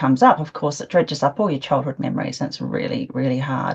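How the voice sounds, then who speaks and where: Over noticeable background noise, a woman with an Australian accent speaks at a very fast pace with lively intonation. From Australia, Adelaide. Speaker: interviewee, witness in crime case. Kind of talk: interview. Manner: laughs while talking.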